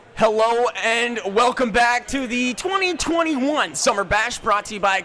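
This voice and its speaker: Over noticeable background noise, a man speaks in a raised, projected voice at an extremely high pitch. His intonation is lively and his pace moderate. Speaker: esports caster. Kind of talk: live commentary. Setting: casting desk at live event. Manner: loud.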